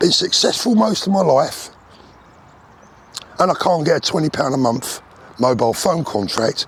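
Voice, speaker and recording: Over noticeable background noise, a man with a British accent and fairly high pitch speaks at a moderate pace, his loudness very even, his pitch swinging very widely, and his pauses long and frequent. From UK. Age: 60s. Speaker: vlogger. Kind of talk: casual monologue rant. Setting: outdoors, walking. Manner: animated.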